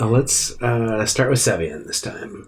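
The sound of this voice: Speaking at a fairly slow pace, a man with a medium pitch uses lively intonation.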